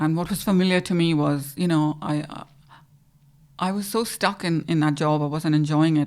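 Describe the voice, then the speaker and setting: A woman with an Indian accent speaks at a very deep, low pitch, fairly quickly and with fairly even intonation, in a very clean recording with a silent background. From India, Goa. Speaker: financial adviser. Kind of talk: interview.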